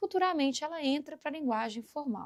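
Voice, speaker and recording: With lively intonation, a woman speaks in a Minas Gerais accent. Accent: Minas Gerais (mineiro). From Brazil, Minas Gerais. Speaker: teacher. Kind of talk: lecture. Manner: animated.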